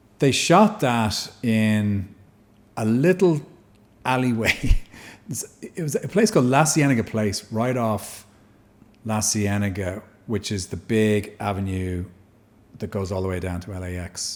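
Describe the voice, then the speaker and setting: A man's fairly low voice with a Dublin accent, fairly slow with long, frequent pauses, lively intonation and big swings in loudness, on a very clean recording with a silent background. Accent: Irish (Dublin). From Dublin, Ireland. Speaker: actor. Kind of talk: podcast interview answer.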